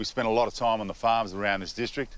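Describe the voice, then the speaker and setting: The speaker is a man with an Australian accent. He talks at a fairly quick pace. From Tweed Heads, northern New South Wales, Australia. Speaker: gardening TV presenter. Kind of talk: personal story to camera. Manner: relaxed, casual.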